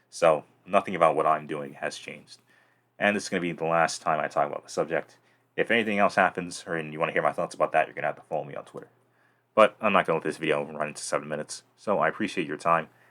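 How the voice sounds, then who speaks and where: A man speaks at a very fast pace with big swings in loudness. The recording is very clean, with a silent background. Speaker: YouTube commentator. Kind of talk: video commentary.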